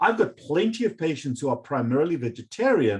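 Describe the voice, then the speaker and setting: A man with a fairly high, somewhat breathy voice talks at a moderate pace with very wide pitch swings. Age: 50s. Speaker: medical doctor. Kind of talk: interview.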